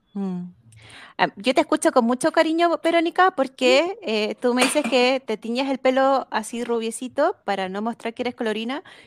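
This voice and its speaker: On a very clean recording with a silent background, a woman speaks with a high pitch and lively intonation. Her moderate-paced voice sounds dry and close with no echo. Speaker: psychologist. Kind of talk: interview.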